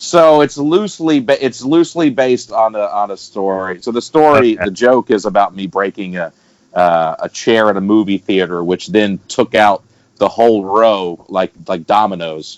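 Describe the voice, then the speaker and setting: In a dry, close sound with no echo, a man with a Southern US accent and a fairly low pitch talks at a moderate pace with lively intonation. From Alabama, US. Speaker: stand-up comedian. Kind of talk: podcast interview answer. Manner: casual, conversational.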